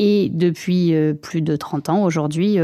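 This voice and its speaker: This woman's voice sits fairly low in pitch and has a dark, mellow tone. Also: very clean recording, silent background. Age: 30s. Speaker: manager of a repair workshop and shop. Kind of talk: interview.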